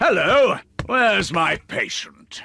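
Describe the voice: A man puts on a cartoonish character voice with an extremely high pitch.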